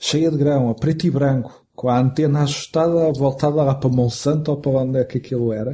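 With hardly any pauses, a man talks at a fairly quick pace in a fairly high pitch with fairly even intonation. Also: very even loudness. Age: 40s. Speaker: film director. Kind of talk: interview. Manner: halting.

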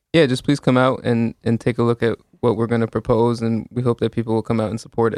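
Someone with an American accent talks at a very fast pace in a monotone, flat intonation, with a dry, close sound and no echo. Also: man, medium pitch for a man. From suburbs of New Haven, Connecticut. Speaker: community organizer. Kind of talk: interview, advocacy.

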